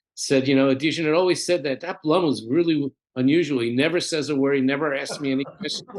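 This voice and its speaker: A man with an American accent speaks at a very fast pace in a fairly high pitch. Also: fairly even intonation. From US Northeast, Philadelphia. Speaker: chiropractor and researcher. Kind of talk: casual interview chat. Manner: halting, repetitive.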